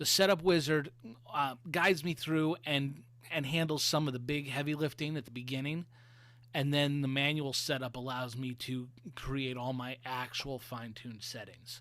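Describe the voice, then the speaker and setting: Here a man with an American accent speaks in a fairly high pitch at a moderate pace. His intonation stays fairly even, and the recording is very clean with a silent background. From US East Coast. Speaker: web designer presenting at a meetup. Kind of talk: presentation.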